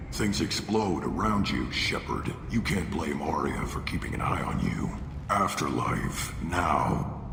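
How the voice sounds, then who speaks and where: Amid loud background noise and a slight echo, a man puts on a character voice that is very deep and low, speaking at a fairly slow pace. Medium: machinima. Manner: curt, commanding.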